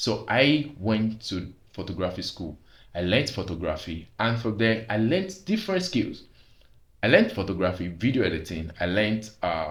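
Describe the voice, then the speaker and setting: A man's fairly low, somewhat breathy voice carries lively intonation against audible room echo. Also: moderate pace. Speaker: vlogger. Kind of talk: personal testimony monologue.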